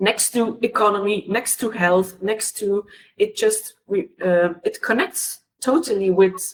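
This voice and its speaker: Her pitch lands in the middle range. The woman takes a fairly slow pace. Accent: non-native. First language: not English. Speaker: panelist, cultural sector worker. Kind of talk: webinar panel discussion. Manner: halting, many hesitations and repeats.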